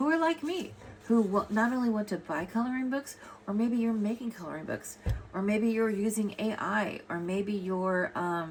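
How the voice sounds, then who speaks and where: A woman with an American accent speaks at a fairly high pitch. Her voice is somewhat breathy, and her intonation is lively. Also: moderate pace. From US West Coast, Los Angeles. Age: 60s. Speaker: artist and coloring book author. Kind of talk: casual vlog talk to camera. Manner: rambling, halting with many fillers.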